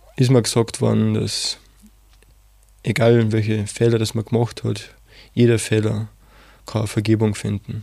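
The speech comes at a fairly slow pace in a dark, mellow tone, with monotone, flat intonation and long, frequent pauses. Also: man, fairly low pitch for a man, very clean recording, silent background. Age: 20s. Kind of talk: interview testimony. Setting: studio.

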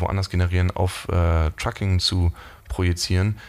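This man's voice sits very deep and low. He speaks in a flat monotone. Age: 20s. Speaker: startup CEO in logistics. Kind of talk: interview. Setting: office. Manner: hesitant with many fillers.

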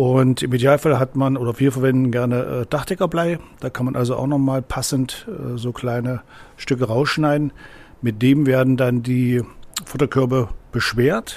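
Here a man talks in a medium pitch. His pace is moderate. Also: fairly even intonation. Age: 60s. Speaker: angling club president. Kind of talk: tutorial. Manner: halting, many fillers.

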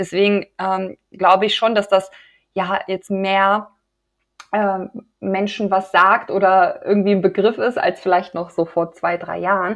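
A woman talks at a fairly slow pace in a medium pitch, her intonation monotone and flat. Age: 30s. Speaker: women's health coach. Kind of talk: interview.

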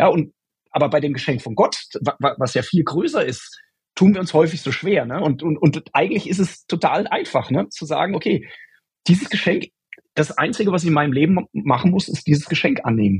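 A man's fairly high voice with vocal fry, fairly quick pace and lively intonation. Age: 40s. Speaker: software developer, guest. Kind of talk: casual faith conversation.

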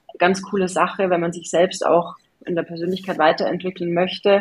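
Delivered at a moderate pace, this is an ordinary speaking voice. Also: woman. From Bavaria, Germany (Regensburg area). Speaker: agency founder and CEO. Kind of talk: interview conversation.

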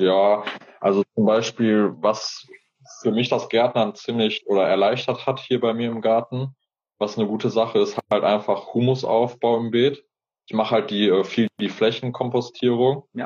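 A man talks at a fairly slow pace. His intonation stays flat and monotone. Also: medium pitch for a man. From Hesse, Fulda. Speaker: gardener and YouTuber. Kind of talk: interview conversation. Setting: Instagram live video stream. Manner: casual, colloquial.

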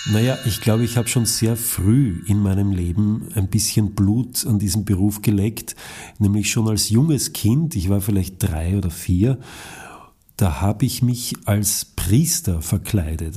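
In a very clean recording with a silent background, a man with a fairly low pitch and a dark, mellow, somewhat breathy tone speaks at a fairly slow pace with ordinary pitch variation. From Lower Austria. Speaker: actor and acting teacher. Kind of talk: interview.

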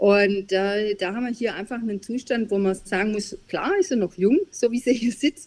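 Hardly pausing, a woman talks at a moderate pace with a fairly high pitch and ordinary pitch variation. She has a normal speaking voice. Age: middle-aged. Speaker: business advisory board member and consultant. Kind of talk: interview.

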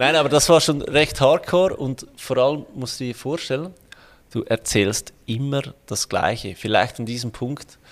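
This man has a medium pitch and an ordinary speaking voice. He talks at a fairly slow pace with ordinary pitch variation. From Switzerland. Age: 30s. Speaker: financial planner and online entrepreneur. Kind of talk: interview.

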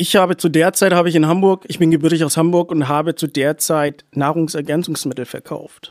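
A fairly high-voiced man at a fairly quick pace, hardly any pauses, an unremarkable speaking voice, dry and close with no echo, on a very clean recording with a silent background. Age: 20s. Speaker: small property investor. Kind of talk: interview.

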